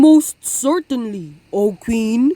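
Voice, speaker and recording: A woman puts on a character voice. Her pitch is fairly high and swings very widely. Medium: read story. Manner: dignified, measured.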